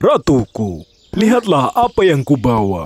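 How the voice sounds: A cartoonish character voice from a man at medium pitch and a fairly slow pace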